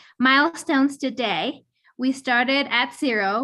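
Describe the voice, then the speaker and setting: A woman speaks in a bright, sharp, shaky voice. Her intonation is fairly even against a quiet background. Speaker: entrepreneur. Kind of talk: pitch; casual chat.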